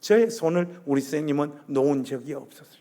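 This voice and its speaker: With a Gyeongsang accent, a man speaks at a fairly high pitch with ordinary pitch variation. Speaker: guest preacher. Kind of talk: sermon. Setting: church. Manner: animated.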